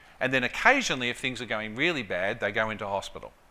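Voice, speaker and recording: A very fast voice in an Australian accent. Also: man. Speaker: clinical psychology professor. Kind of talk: conference presentation.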